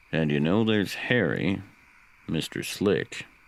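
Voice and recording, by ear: A man puts on a character voice, low-pitched and full of vocal fry. He talks slowly, with big pitch swings.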